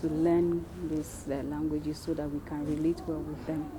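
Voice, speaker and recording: A woman with a Nigerian accent talks at a moderate pace over noticeable background noise. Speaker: missionary. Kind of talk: interview.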